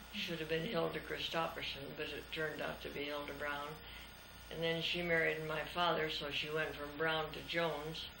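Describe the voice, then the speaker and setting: In an American accent, a woman with a very deep, low pitch talks at a moderate pace with monotone, flat intonation, amid noticeable background noise and audible room echo. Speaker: grandmother telling family history. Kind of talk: casual family interview.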